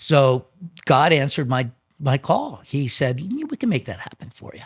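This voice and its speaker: Here a man speaks with an American accent at a fairly high pitch, with ordinary pitch variation. His voice is somewhat breathy and his loudness swings a lot. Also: moderate pace. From Chicago. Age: 60s. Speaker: drummer. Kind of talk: interview storytelling.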